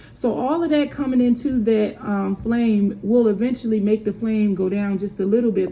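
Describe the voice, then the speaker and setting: Against noticeable background noise, a woman with a fairly high pitch talks at a moderate pace with ordinary pitch variation. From Philadelphia, US. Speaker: candle maker. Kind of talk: tutorial. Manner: casual, hesitant with fillers.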